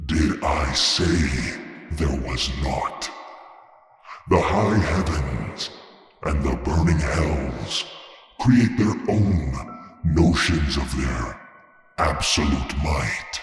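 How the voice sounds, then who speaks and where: In a put-on character voice, a man speaks at a very slow pace with a very deep, low pitch and strong echo. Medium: read story. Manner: measured, enigmatic, lofty.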